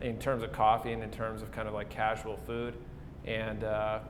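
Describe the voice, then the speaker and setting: A man with an Upper Midwest accent talks fairly quickly at a medium pitch. Noticeable background noise and audible room echo come through. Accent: Upper Midwest American. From South Dakota (Pierre). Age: 20s. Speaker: coffee shop owner. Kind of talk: interview. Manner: casual, with frequent fillers.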